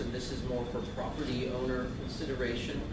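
Fairly quick speech with audible room echo and loud background noise. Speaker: transit agency representative. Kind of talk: presentation with Q&A. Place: meeting room. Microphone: camera far.

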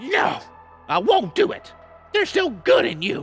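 Over faint music in the background, a man performs a cartoonish character voice at a moderate pace. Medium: puppet show. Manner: melodramatic, haughty.

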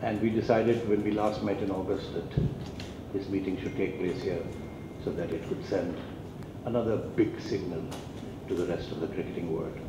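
Noticeable background noise runs under the recording. A man speaks at a fairly quick pace. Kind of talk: press conference announcement. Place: hall. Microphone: podium.

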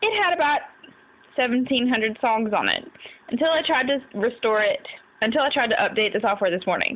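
Her voice is high-pitched for a woman. The intonation is lively. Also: moderate pace. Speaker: vlogger. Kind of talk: exasperated personal vlog rant about a broken iPod and computer. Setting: cell phone video recording. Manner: frustrated, venting, sighing heavily; deflated and weary, trailing off between complaints.

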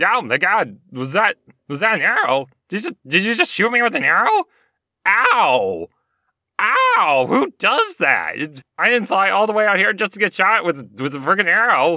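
A put-on character voice that sounds female, with a medium pitch for a woman, speaks at a fairly slow pace. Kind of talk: comic. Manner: indignant, whining, outraged.

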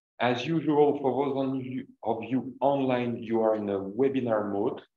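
A man speaks fairly slowly with fairly even intonation, with audible room echo around him. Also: quiet background. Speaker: seminar host. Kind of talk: event introduction announcements. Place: hall.

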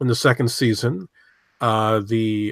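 The speech moves at a fairly slow pace. The background is quiet and the sound is dry, with no echo. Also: man. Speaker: podcast panelist. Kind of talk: casual discussion commentary. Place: home room.

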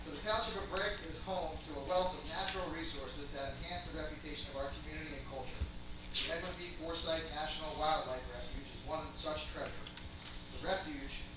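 At a fairly quick pace, a man talks amid strong room echo and noticeable background noise. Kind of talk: ceremonial speech. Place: hall.

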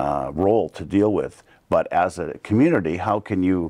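A man's very deep, low voice over a quiet background. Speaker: council candidate. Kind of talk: interview answer. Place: studio. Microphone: lapel.

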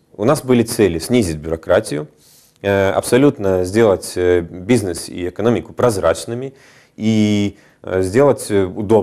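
The voice has a dark, mellow tone with ordinary pitch variation, at a fairly slow pace. The background is quiet. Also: man, fairly low pitch for a man. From Estonia. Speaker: business agency regional director. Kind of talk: TV interview. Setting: TV studio. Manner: hesitant, many fillers. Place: studio.

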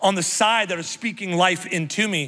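A man with an American accent talks in a raised, projected voice, bright and sharp in tone, animated, with ordinary pitch variation. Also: quiet background. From US Midwest. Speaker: pastor. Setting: church stage with live congregation. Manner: animated, exuberant, rallying the crowd with repeated come on; warm, self-deprecating, confessional asides. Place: stage. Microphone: handheld.

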